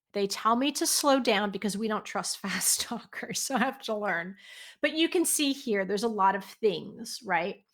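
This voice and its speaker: Here a woman talks in a New Jersey accent at a fairly high pitch. Her pace is moderate and her pitch variation ordinary. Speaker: software company presenter. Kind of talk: webinar presentation.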